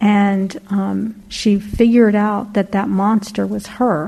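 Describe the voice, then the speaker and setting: A woman speaks, somewhat breathy. Her tone is dark and mellow. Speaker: class participant. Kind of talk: casual sharing. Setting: in-person class with microphone.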